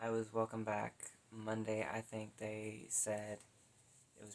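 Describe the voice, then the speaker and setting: A woman with an American accent, a very deep, low pitch and monotone, flat intonation. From US South. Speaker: vlogger. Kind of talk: personal vlog. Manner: halting.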